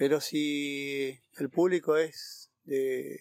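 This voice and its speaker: A man's fairly high voice with fairly even intonation, dry and close with no echo. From Argentina, Corrientes (Iberá wetlands). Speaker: park ranger. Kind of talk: interview. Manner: halting, many fillers.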